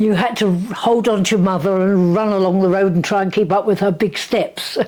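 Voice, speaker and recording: With an English accent, a woman speaks at a fairly quick pace and at very even loudness. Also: medium pitch for a woman, fairly even intonation. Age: 90s. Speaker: grandmother recalling wartime life. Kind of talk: casual interview.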